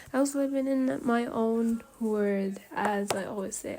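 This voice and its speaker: Over noticeable background noise, a woman speaks at a fairly slow pace in a fairly high voice with ordinary pitch variation. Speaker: student vlogger. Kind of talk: personal rant monologue. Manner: hesitant, filler-heavy.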